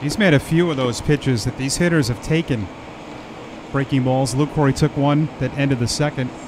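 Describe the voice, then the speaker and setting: Over noticeable background noise, a man talks at a fairly quick pace. His pitch is fairly high, with ordinary variation. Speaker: baseball broadcaster. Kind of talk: live sports commentary, relaxed play-by-play with analysis. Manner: conversational, casual.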